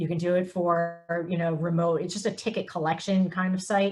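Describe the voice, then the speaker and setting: A woman speaks in a somewhat breathy voice at a fairly low pitch. Her intonation stays fairly even. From US Northeast (Philadelphia and New York). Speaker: nonprofit executive director. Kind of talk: webinar presentation. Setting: video call. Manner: fast.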